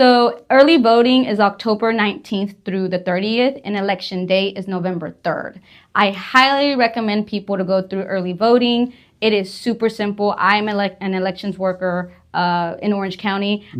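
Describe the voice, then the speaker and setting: This woman's voice sits at a medium pitch and has ordinary pitch variation. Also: moderate pace. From Southeast Texas (Vidor). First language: Spanish. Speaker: political candidate. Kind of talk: interview.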